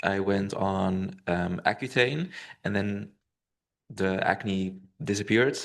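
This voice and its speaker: The man's voice is fairly low and his pace very slow. The background is quiet. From Belgium. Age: 30s. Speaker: patient. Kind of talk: patient testimony at a medical symposium.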